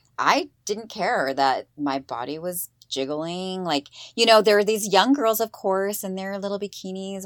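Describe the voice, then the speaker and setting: In a plain, everyday voice, a woman with an American accent speaks at a moderate pace and medium pitch with ordinary pitch variation, on a very clean recording with a silent background. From eastern Washington State, US. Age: 40s. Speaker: mother of two daughters, podcast guest. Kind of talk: casual chat.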